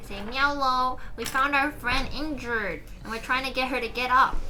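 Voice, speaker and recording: A woman's high-pitched, put-on character voice at a moderate pace, over clear background noise. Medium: actual play.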